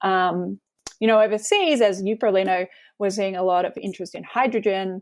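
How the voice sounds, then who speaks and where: A woman at medium pitch talks at a fairly quick pace with a slight Australian accent, in a very clean recording with a silent background. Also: fairly even intonation. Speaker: climate law researcher. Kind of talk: interview. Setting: podcast interview.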